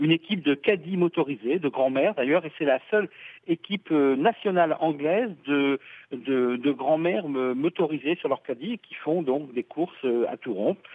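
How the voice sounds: Here a man talks at a moderate pace with a fairly high pitch and ordinary pitch variation. His voice has a slightly husky edge, and the sound is dry and close with no echo.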